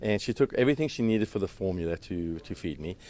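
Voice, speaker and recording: A man with a South African accent, very fast pace and lively intonation, on a very clean recording with a silent background. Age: 60s. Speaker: chef and restaurant owner. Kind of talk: interview. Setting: red carpet event. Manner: halting with fillers.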